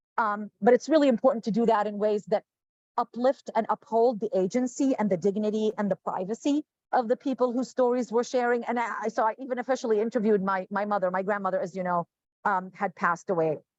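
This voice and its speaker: A woman's fairly high-pitched voice at a very fast pace. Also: ordinary pitch variation, dry, close sound with no echo. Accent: Arabic. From Jordan. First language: Arabic. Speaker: professor and author. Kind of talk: panel discussion.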